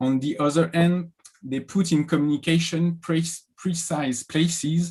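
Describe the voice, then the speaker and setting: A man with a French accent at a fairly slow pace. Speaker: professor, historian. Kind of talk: academic presentation.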